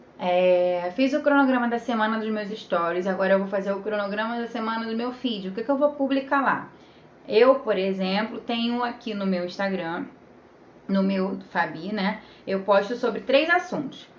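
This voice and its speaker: The tone is animated, with ordinary pitch variation at a moderate pace. Noticeable background noise runs underneath. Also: woman, fairly high pitch for a woman. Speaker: social media manager. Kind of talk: live stream tutorial.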